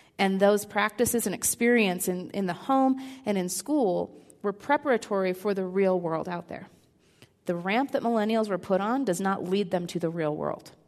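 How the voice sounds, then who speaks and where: With an unremarkable speaking voice, a woman talks at a moderate pace in a medium pitch with ordinary pitch variation. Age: 30s. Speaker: seminary counseling professor. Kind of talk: talk at a church service. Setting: church.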